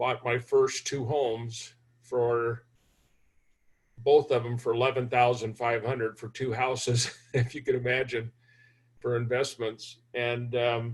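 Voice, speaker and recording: The voice is somewhat breathy, with monotone, flat intonation. It moves at a fairly slow pace, broken by long, frequent pauses. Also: man, medium pitch for a man. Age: 70s. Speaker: hard money lender and investor. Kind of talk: interview for a university class.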